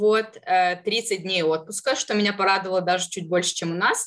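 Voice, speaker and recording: Against a quiet background, a woman with a plain, everyday voice speaks at a fairly quick pace, her fairly low pitch held in fairly even intonation. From southern Russia. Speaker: marketing professional. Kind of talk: interview.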